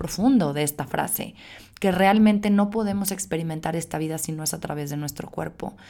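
Dark and mellow in tone, a woman's fairly low voice shows ordinary pitch variation. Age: 30s. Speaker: podcast host. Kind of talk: solo podcast monologue. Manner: casual with filler words.

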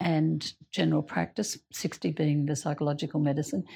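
With an Australian accent, a woman speaks in a dark, mellow tone with lively intonation against a quiet background. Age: 60s. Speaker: doctor. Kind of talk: casual group conversation.

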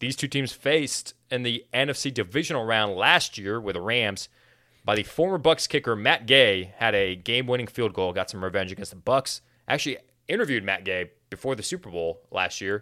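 Lively intonation and a bright, sharp tone mark a man speaking at a moderate pace. The recording is very clean, with a silent background. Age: 20s. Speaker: NFL podcast host. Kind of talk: casual sports chat.

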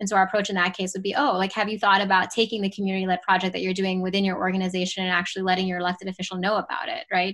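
A woman talks at a very fast pace. Her pitch is medium. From US, Pittsburgh area. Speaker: civic tech startup founder. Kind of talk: interview. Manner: frequent fillers, hesitant.

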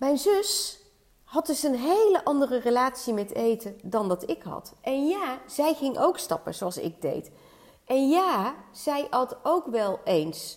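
A very slow, high-pitched woman's voice with very wide pitch swings. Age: 50s. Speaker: weight-loss and hormone coach. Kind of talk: solo podcast monologue.

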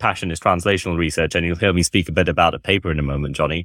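Very deep, low pitch from a male speaker. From Malaysia. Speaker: deputy journal editor, dermatologist. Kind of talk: podcast interview, relaxed.

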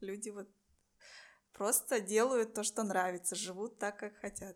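Speaking fairly slowly, a woman holds a medium pitch with a monotone, flat intonation. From Buryatia, Russia. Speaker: podcast host. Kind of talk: casual interview.

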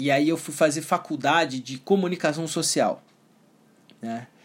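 A man has an ordinary speaking voice at a fairly high pitch. His pitch variation is ordinary. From Brazil. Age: 30s. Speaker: NLP coach and entrepreneur. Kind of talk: personal story monologue. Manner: casual.

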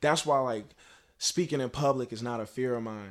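Recorded very cleanly against a silent background, a man with an American accent has a plain, everyday voice, a medium pitch and fairly even intonation. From Baltimore, Maryland. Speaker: rapper. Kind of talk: casual interview.

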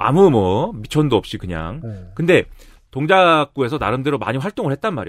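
The recording is very clean, with a silent background. A man speaks at a fairly high pitch with very wide pitch swings. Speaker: political commentator. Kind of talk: casual chat.

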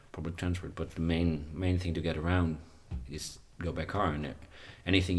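A man with a Dutch accent talks at a very deep, low pitch in a somewhat breathy voice, with monotone, flat intonation. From Netherlands. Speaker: podcast host. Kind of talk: casual interview chat.

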